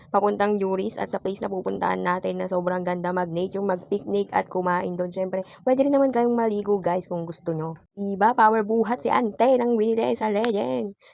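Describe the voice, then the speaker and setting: At a fairly quick pace and with hardly any pauses, a woman talks in a medium pitch with lively intonation. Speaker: vlogger. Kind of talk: vlog voice-over narration. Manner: occasionally stumbling; casual, playful. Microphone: phone voice recording.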